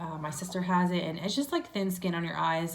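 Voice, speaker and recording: A woman speaks at a fairly quick pace in a fairly low pitch. Her intonation is monotone and flat, and the room echo is audible. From New Jersey, Trenton. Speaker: beauty vlogger. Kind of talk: makeup tutorial. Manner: chatty, many fillers.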